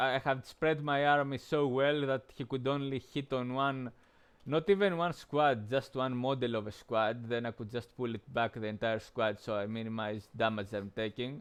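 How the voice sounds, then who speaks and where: Against a quiet background, a man with a non-native accent speaks at a moderate pace. His pitch is medium, with ordinary pitch variation. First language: not English. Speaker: game streamer. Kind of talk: gameplay commentary. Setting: live stream. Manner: halting, many fillers.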